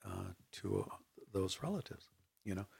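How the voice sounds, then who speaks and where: A man's somewhat breathy voice with an American accent, at a fairly slow pace. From Inland Southern California (Riverside area). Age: 60s. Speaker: artist and educator. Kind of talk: casual interview conversation. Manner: halting, many fillers.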